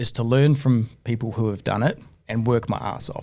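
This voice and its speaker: A man with a New Zealand accent at a medium pitch and a moderate pace. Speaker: entrepreneur, business owner. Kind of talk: podcast interview, casual storytelling.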